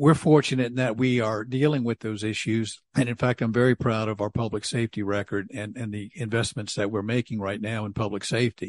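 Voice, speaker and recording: In a plain, everyday voice, a man with an American accent talks at a fairly quick pace with hardly any pauses, using medium pitch and fairly even intonation over a quiet background. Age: 60s. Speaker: city council member. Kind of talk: casual interview.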